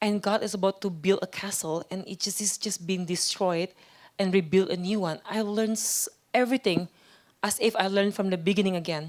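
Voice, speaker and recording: Woman with an Indonesian accent, medium in pitch, fairly even in intonation, at a fairly quick pace. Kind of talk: interview testimony. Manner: halting, with fillers and repeats.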